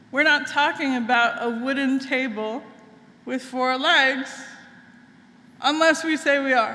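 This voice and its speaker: Using a raised, projected voice at a high pitch, a woman speaks at a fairly slow pace with fairly even intonation and long, frequent pauses, amid audible room echo and noticeable background noise. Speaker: minister. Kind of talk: sermon. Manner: conversational, engaging audience.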